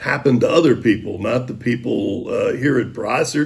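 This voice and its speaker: A man talks at a moderate pace. His voice is somewhat breathy. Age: 70s. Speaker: high school sports broadcaster. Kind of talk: interview.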